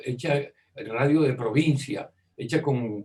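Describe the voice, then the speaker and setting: A man's somewhat breathy voice, fairly high in pitch, at a fairly slow pace with ordinary pitch variation. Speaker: radio and television broadcaster, journalist, interviewee. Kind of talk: interview answer recalling radio history. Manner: conversational, hesitant with repeated words.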